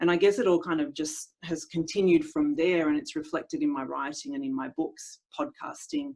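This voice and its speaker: Hardly pausing at all, the speaker uses an Australian accent with very wide pitch swings. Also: woman, fairly low pitch for a woman. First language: Italian. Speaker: speech pathologist. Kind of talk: interview. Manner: hesitant, many fillers.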